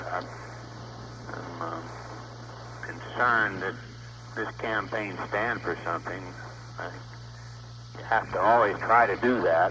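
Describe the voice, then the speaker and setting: A man's fairly low voice at a fairly slow pace, with very wide pitch swings, big swings in loudness, long, frequent pauses and noticeable background noise. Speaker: politician, US Senate candidate. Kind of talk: phone call to a live audience.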